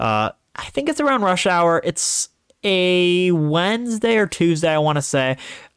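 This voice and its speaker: On a very clean recording against a silent background, a man talks with an American accent. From US Midwest, Northeast Ohio. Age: 20s. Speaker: podcast host. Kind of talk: casual solo monologue. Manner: animated; halting.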